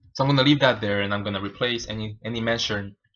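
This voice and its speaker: A man talks at fairly low pitch. His intonation stays fairly even. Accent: Spanish. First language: Spanish. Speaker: programmer streaming live coding. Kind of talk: live coding stream tutorial. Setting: live stream. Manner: halting, many fillers and repeats.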